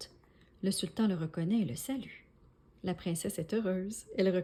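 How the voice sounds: A natural reading voice, pitch shifting by an ordinary amount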